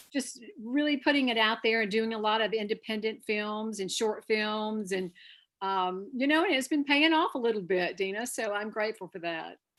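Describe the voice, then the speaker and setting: A woman with a slight Southern accent is heard in a very clean recording with a silent background. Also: fairly high pitch for a woman, ordinary pitch variation, moderate pace. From North Carolina. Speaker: actor. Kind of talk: interview.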